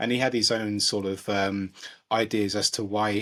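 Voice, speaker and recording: A man speaks with a fairly low voice. The recording is very clean, the background silent. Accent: London. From London, England. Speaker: podcast co-host. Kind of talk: casual chat.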